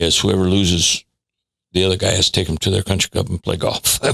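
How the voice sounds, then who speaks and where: A man with a very deep, low pitch at a fairly quick pace, in a dry, close sound with no echo. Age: 80s+. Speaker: strength and conditioning coach. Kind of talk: casual interview chat.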